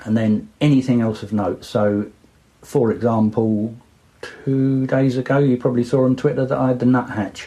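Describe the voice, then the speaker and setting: A man with an Essex accent speaks at a moderate pace in a dark, mellow tone, his intonation fairly even and his loudness very even. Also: medium pitch for a man. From Essex, England. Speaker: birder. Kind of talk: interview answer.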